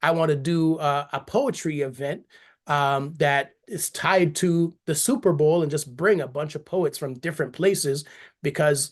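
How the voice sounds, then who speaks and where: Someone with an American accent speaks at a fairly slow pace. The background is quiet. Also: man, fairly high pitch for a man. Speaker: spoken word poet. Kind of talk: interview. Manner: conversational with many fillers.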